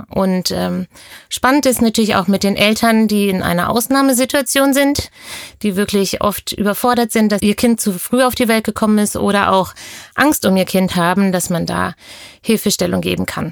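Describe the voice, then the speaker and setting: Woman's medium-pitched voice at a moderate pace with ordinary pitch variation, a normal speaking voice. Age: 40s. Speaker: pediatric nurse. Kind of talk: interview. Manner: uses frequent fillers.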